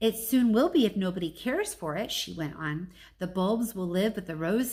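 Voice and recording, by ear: Reading aloud in a natural voice, with lively intonation.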